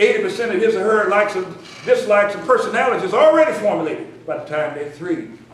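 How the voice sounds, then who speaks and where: A man with an American accent speaking fairly quickly in an animated tone, with audible room echo and noticeable background noise. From US South, Memphis, Tennessee. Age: 60s. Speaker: educator and minister. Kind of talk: conference speech. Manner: animated, repetitive emphasis.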